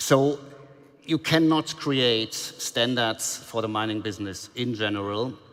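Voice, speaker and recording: Someone speaks with a German accent and ordinary pitch variation over noticeable background noise. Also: man, medium pitch for a man. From Germany. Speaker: mining industry panelist. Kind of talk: panel discussion. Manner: halting, many repetitions.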